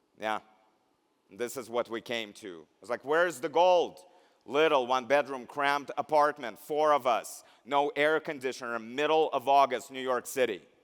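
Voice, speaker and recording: A man with a Russian accent speaks with ordinary pitch variation. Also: medium pitch for a man, moderate pace. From Belarus. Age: 50s. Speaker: keynote speaker, healthcare education executive. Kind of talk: keynote speech. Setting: graduation ceremony.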